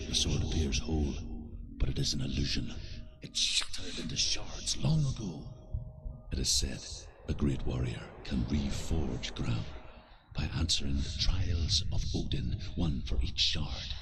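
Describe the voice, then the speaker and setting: Putting on a character voice with a very deep, low pitch, a man leaves long, frequent pauses over clear background noise. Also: moderate pace. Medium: video game. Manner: grave, measured.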